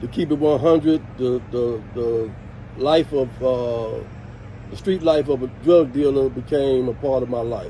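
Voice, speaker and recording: A man with an American accent and a medium-pitched voice speaks fairly slowly with fairly even intonation over noticeable background noise. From Washington DC (Southeast). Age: 60s. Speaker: former skate club member and community figure. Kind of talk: interview storytelling.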